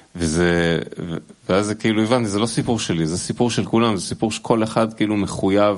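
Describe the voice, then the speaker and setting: A man with a plain, everyday voice talks at a fairly low pitch with ordinary pitch variation. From Israel. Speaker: musician. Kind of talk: casual chat. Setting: studio.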